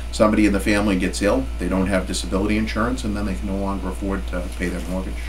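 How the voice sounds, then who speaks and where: A man talks very fast in a very deep, low voice with lively intonation and hardly any pauses. Noticeable background noise runs underneath. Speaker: auctioneer and appraiser. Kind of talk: interview answer. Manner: reflective, sympathetic.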